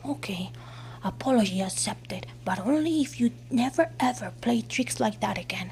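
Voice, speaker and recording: Moderate pacing in a put-on character voice. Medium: solo performance.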